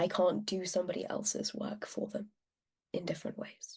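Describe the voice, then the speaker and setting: A woman talks at a moderate pace with a medium pitch. Her voice is somewhat breathy. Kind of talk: interview answer.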